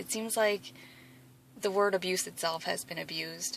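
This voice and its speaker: This speaker has a Wisconsin accent. The pace is fairly slow. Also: woman. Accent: Midwestern Wisconsin. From Wisconsin, US Midwest (from age 8; born South Korea). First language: Korean. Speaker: athlete vlogger. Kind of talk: personal testimony vlog. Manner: hesitant, many fillers.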